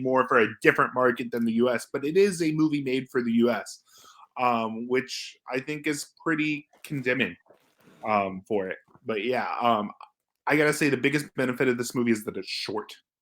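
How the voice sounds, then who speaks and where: A normal speaking voice from a man, moderately paced, at a medium pitch and with ordinary pitch variation. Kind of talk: casual movie review talk.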